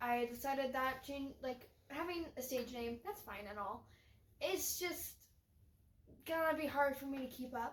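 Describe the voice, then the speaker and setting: A woman speaks loudly at a fairly slow pace. Her pitch is high, with ordinary variation. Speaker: podcast co-host. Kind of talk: casual chat.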